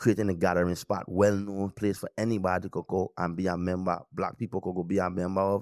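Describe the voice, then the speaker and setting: A man with a Virgin Islands accent speaks at a fairly quick pace with hardly any pauses, in a very deep, low, monotone, flat voice, on a very clean recording with a silent background. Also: dry, close sound with no echo. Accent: Virgin Islands Caribbean English. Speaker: podcast co-host. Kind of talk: casual chat.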